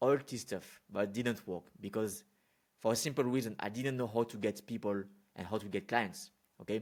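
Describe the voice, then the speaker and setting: Someone with a French accent speaks at a moderate pace and with ordinary pitch variation in a very clean recording with a silent background. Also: man, medium pitch for a man. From France. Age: 20s. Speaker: business consultant. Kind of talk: unscripted talk to camera. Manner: casual, with fillers and repetitions.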